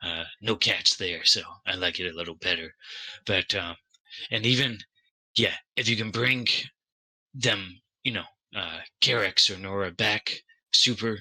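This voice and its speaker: A man uses a put-on character voice that is raspy and fairly low, with ordinary pitch variation. Long pauses come often. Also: moderate pace. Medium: actual play. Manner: hesitant, stammering, full of fillers.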